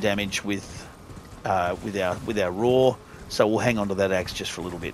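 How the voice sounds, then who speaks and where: Speaking fairly quickly with an Australian accent, a man shows ordinary pitch variation over noticeable background noise. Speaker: gaming youtuber. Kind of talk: gameplay walkthrough commentary. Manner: casual, conversational.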